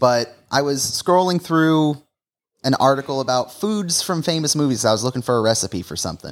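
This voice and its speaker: A man with an unremarkable speaking voice talks at a moderate pace and a medium pitch. His intonation is lively, and the recording is very clean, with a silent background. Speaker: camera operator and guest. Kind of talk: casual chat.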